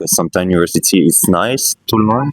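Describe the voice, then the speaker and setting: A man speaks fairly quickly in a Quebec accent. The sound is dry and close, with no echo. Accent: Québécois French accent in English. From Quebec, Canada. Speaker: street interviewee. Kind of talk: street interview. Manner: halting.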